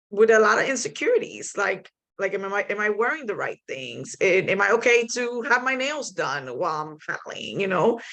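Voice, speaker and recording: A woman's fairly high, bright, sharp voice with a Spanish accent, vocal fry, very wide pitch swings and hardly any pauses. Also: moderate pace. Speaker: kayak angler and paddling panelist. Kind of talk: panel discussion.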